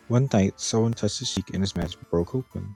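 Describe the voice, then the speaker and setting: Over music in the background, a man speaks at a fairly low pitch with ordinary pitch variation, in a dry, close sound with no echo. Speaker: animatronic reviewer. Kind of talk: reading a product description aloud.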